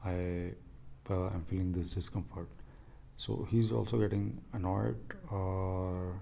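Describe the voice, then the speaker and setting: Dark and mellow in tone, the voice moves at a very slow pace with lively intonation and audible room echo. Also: man, very deep, low pitch for a man. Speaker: channel owner commenting on his radio call. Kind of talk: commentary over replayed call. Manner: halting, many fillers.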